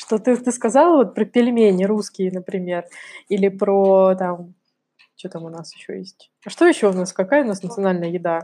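A woman's medium-pitched voice with a dark, mellow tone, a moderate pace, big swings in loudness and ordinary pitch variation. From Russia, Kamchatka. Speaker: podcast co-host. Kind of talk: casual chat.

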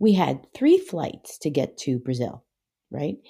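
Very deep, low pitch from a woman, in a very clean recording against a silent background. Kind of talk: devotional talk. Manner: fast.

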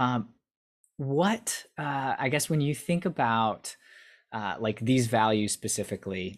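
A man with an unremarkable speaking voice speaks fairly slowly at a medium pitch, his intonation lively. The recording is very clean with a silent background. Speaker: podcast host. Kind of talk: casual interview.

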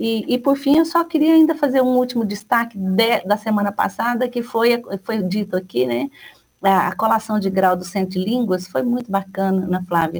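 This woman's voice sits fairly high and is somewhat breathy, with lively intonation. She talks at a moderate pace. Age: 50s. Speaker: university rector. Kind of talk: radio interview. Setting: radio studio. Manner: halting, many fillers.

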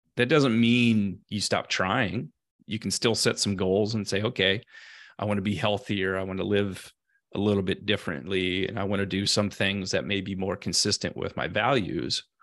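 Against a quiet background, a man speaks in a plain, everyday voice with an American accent. His pitch is fairly low, with ordinary variation, and his pace is moderate. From US, Central California. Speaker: former tech executive, mental health writer. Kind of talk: interview.

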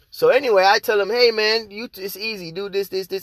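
Recorded dry and close with no echo, a man with an American accent talks at a very fast pace in an energetic tone, with ordinary pitch variation. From outside the US. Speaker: podcast host, internet marketer. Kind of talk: casual solo podcast monologue. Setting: podcast. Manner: casual, slangy, energetic.

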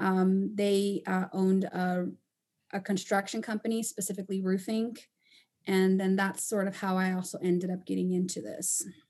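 Over a quiet background, a woman with a Spanish accent speaks at a medium pitch and moderate pace, her tone dark and mellow and her intonation monotone and flat. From Panama and Costa Rica. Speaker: roofing company owner. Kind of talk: podcast interview.

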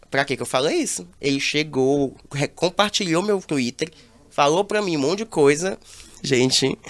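This man has an unremarkable speaking voice, pitched fairly high, with lively intonation. He talks at a fairly slow pace. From Brazil, Teresina (Piauí). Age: 20s. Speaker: reality show commentator influencer. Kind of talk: casual chat.

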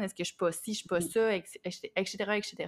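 On a very clean recording with a silent background, a woman with a plain, everyday voice talks at medium pitch and a moderate pace with fairly even intonation. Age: 30s. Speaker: podcast co-host. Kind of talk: casual chat.

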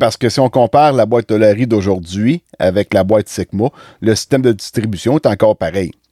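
A man's fairly low, dark, mellow voice with a Quebec accent, fairly quick pace, ordinary pitch variation, very even loudness, and a dry, close sound with no echo. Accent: Québécois French. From Quebec, La Visitation near Saint-Hyacinthe. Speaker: podcast host and farmer. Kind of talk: casual interview.

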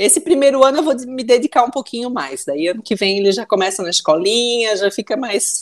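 Speaking at a fairly quick pace with hardly any pauses, a woman with a Santa Catarina accent uses a fairly high pitch and very wide pitch swings. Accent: Brusque (Santa Catarina) accent, noticeable. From Brusque, Santa Catarina, Brazil. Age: 30s. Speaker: businesswoman. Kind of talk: casual interview.

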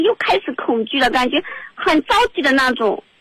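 High-pitched female voice with very wide pitch swings and a moderate pace, against noticeable background noise. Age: 30s. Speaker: radio call-in caller. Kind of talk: advice call-in.

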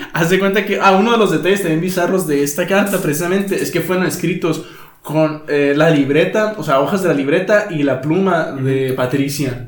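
A man with a high pitch talks at a moderate pace with ordinary pitch variation. Room echo is audible, along with noticeable background noise. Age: 20s. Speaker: podcast host. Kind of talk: casual chat.

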